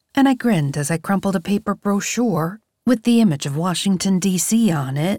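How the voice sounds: A quiet background behind a natural reading voice full of lively intonation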